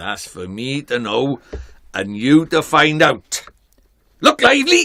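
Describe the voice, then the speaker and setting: A gruff, put-on character voice moves at a fairly slow pace, broken by long, frequent pauses. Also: man, fairly high pitch for a man. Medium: game stream. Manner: brisk, cheeky, bossy.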